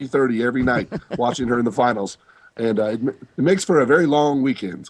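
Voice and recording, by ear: A man's raspy, hoarse put-on character voice, medium in pitch, at a very fast pace with ordinary pitch variation.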